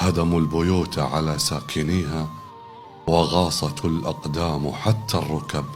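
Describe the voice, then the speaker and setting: Over music in the background, a man with a very deep, low pitch speaks at a very slow pace. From Kuwait. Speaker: broadcaster. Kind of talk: poetry reading.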